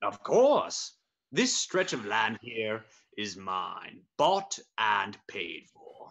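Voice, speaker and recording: A man uses a put-on character voice at medium pitch. He speaks at a very slow pace. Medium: stage play. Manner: repeats 'interesting, interesting'.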